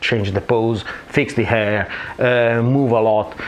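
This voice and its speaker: Noticeable background noise sits behind a man speaking with an Italian accent. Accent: Italian accent, non-native English. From Italy. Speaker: photographer. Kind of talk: tutorial. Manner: hesitant, frequent fillers.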